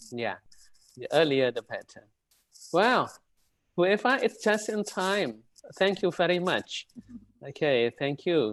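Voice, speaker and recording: A man at a fairly slow pace with an Indonesian accent, in a dry, close sound with no echo and a quiet background. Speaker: university lecturer, webinar presenter. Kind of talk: lecture. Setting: video call. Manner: hesitant, many fillers.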